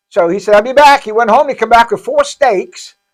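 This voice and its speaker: A man speaks at a moderate pace and an extremely high pitch while music plays in the background. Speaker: pastor running a homeless shelter. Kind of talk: casual chat. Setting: live podcast. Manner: halting, stuttering.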